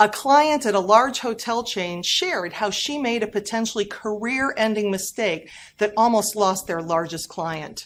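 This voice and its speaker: On a very clean recording with a silent background, a woman speaks at a moderate pace and fairly high pitch with lively intonation. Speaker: professional keynote speaker on employee engagement and workplace culture. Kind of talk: short workplace leadership advice talk to camera. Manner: high energy, enthusiastic.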